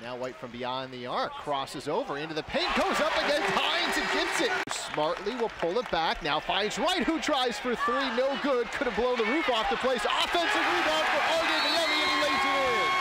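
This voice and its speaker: Over noticeable background noise, a man with an extremely high pitch and very wide pitch swings keeps a moderate pace with hardly any pauses. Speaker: basketball play-by-play announcer. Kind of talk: live sports commentary. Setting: arena broadcast.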